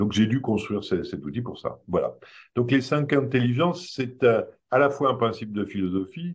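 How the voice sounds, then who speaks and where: A somewhat breathy man talks at a moderate pace, his medium pitch carrying lively intonation. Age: 70s. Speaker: creator of a behavioural theory, trainer. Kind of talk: public talk presentation. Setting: evening event with audience. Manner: hesitant, many fillers.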